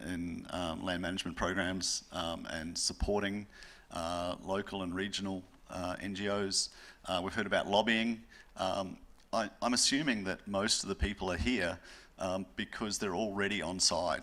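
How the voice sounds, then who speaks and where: In a New Zealand accent, a man with a fairly low pitch and a bright, sharp tone talks at a moderate pace with fairly even intonation. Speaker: panelist. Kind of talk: panel discussion.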